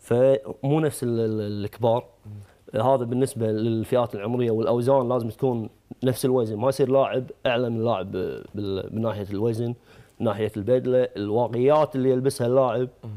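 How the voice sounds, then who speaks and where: With a Kuwaiti accent, a man speaks at a moderate pace in a dark, mellow tone with fairly even intonation against a quiet background. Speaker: taekwondo referee; guest, sports coach or official. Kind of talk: TV talk show interview. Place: studio.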